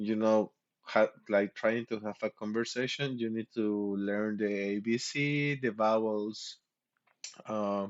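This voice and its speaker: In a Mexican accent, a man talks at a very slow pace. His pitch is fairly low. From Mexico. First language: Spanish. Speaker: streamer. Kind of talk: casual chat. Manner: halting.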